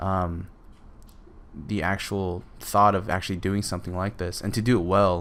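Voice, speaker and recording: Mumbling in a very deep, low pitch, a man keeps his intonation fairly even. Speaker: digital painting artist and tutor. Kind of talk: tutorial commentary. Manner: halting, many fillers.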